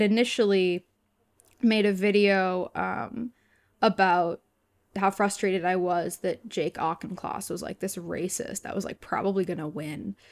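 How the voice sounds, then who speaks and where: The woman has an ordinary speaking voice, speaking at a fairly slow pace with a medium pitch and fairly even intonation in a very clean recording with a silent background and a dry, close sound with no echo. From Massachusetts. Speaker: theater student and activist. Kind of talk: casual chat.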